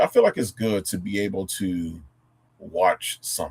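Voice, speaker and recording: The speaker is a man with an American accent. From Tennessee. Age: 40s. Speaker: vocabulary educator streamer. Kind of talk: casual live stream talk. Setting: live stream. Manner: halting, many fillers and restarts.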